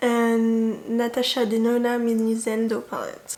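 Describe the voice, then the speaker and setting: A French accent amid noticeable background noise and audible room echo. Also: woman. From France. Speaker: beauty YouTuber. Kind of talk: casual vlog chat.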